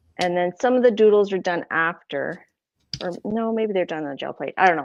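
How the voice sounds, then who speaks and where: This woman has an American accent. Her pitch is medium, with ordinary variation. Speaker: artist. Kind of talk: casual chat, craft demo.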